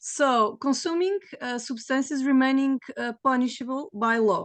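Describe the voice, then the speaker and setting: At a fairly slow pace and with ordinary pitch variation, a woman speaks in a dry, close sound with no echo over a quiet background. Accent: Portuguese. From Portugal. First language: Portuguese. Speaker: panelist. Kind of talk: panel discussion. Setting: video call. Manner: halting.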